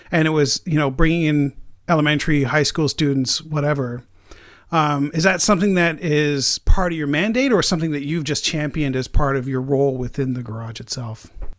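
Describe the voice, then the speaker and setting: On a very clean recording with a silent background, a man with a plain, everyday voice speaks at a fairly quick pace, his fairly high pitch showing ordinary pitch variation. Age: 40s. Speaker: podcast host. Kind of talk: casual interview.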